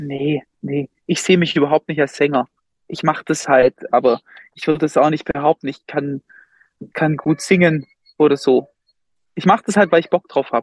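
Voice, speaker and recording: A man with a fairly high voice talks at a moderate pace, with fairly even intonation. He pauses long and often. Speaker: music school director and band conductor. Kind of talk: casual interview.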